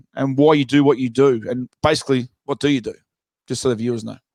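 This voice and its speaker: A fairly high-pitched man, very fast and with fairly even intonation. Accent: Australian. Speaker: podcast host. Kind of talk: casual chat.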